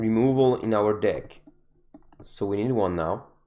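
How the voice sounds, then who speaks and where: A man's dark, mellow tone at a fairly slow pace. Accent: non-native. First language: not English. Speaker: gaming content creator. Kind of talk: gameplay commentary. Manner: halting.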